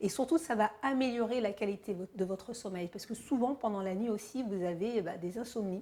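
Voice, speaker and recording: Pitch moves with ordinary variation. A dark, mellow tone colors the voice. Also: woman. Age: 50s. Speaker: fitness coach. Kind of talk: tutorial. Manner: casual, hesitant with fillers.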